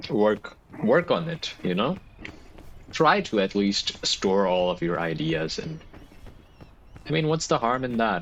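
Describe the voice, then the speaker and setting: The speaker, with a non-native accent, talks at a fairly slow pace with very wide pitch swings and long, frequent pauses. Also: man, medium pitch for a man. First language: not English. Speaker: gaming youtuber. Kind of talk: gameplay commentary. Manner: rambling, halting.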